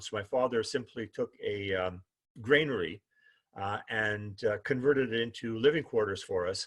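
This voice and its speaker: A man with a Canadian prairie accent at a medium pitch, against a quiet background. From Manitoba, Canada (Winnipeg North End, East Selkirk). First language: Ukrainian. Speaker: human library speaker. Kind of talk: personal life story talk. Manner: halting, many fillers.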